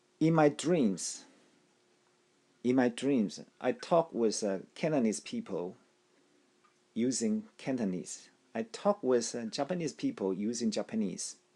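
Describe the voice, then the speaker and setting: In a very clean recording with a silent background, a man with a dark, mellow tone makes very wide pitch swings and takes long, frequent pauses. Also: medium pitch for a man, fairly slow pace. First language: Taiwanese. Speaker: language learning teacher. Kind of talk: tutorial. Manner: halting, with repetitions and fillers.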